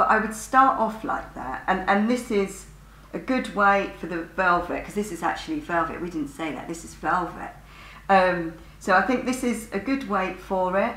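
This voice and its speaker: Big swings in loudness mark a woman's speech at a moderate pace, with audible room echo around her. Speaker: sewing teacher. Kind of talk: tutorial. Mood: cheerful, chatty. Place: studio. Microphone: camera far.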